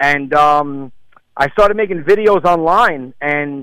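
The sound is dry and close with no echo as a man speaks at a fairly high pitch in a bright, sharp tone. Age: 40s. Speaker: stand-up comedian. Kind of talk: casual interview chat.

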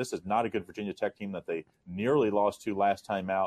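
A man with an ordinary speaking voice, fairly low in pitch, fairly even in intonation, at a fairly quick pace. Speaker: sports handicapper. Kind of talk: sports betting picks discussion. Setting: radio show segment.

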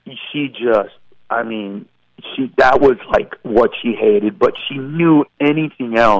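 This man has a medium pitch and lively intonation. He talks at a very slow pace. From Honduras. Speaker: stand-up comedian. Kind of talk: casual interview. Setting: phone call. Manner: comedically melodic cadence.

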